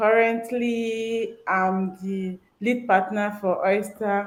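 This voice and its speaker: A woman with a fairly high pitch talks at a very slow pace, her intonation fairly even. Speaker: business leader. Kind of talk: interview.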